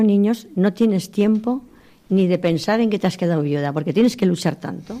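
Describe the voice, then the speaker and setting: Speech comes at a fairly quick pace. Everything is very clean, against a silent background. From Spain, Huesca province (Aragon). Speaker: widow. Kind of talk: testimony.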